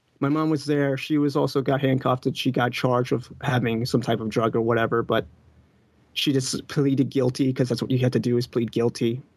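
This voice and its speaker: A man with an ordinary speaking voice, medium in pitch and fairly quick, with very even loudness and fairly even intonation. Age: 20s. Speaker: caller. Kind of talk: call-in conversation.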